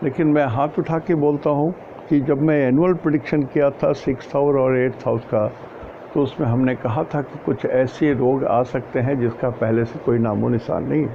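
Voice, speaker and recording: Noticeable background noise sits behind a man's voice. His pitch is fairly high, with ordinary variation. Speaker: astrologer. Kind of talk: casual talk on astrology. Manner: soft, low volume.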